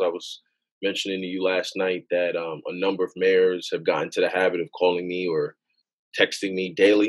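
With a New York accent, a man keeps a moderate pace. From Queens, New York, Jamaican immigrant parents. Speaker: gun violence policy director. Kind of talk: podcast interview.

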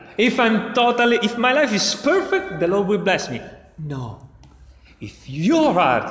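In an Italian accent, the speaker talks at a fairly slow pace with very wide pitch swings over noticeable background noise. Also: man. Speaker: preacher. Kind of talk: sermon. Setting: church. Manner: halting.

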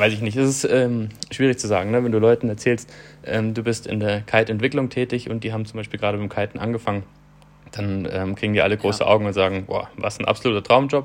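Medium in pitch, a man keeps his intonation fairly even. He talks very fast. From southern Germany. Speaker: kite developer and tester. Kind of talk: interview. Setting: remote call from abroad. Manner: hesitant, many fillers.

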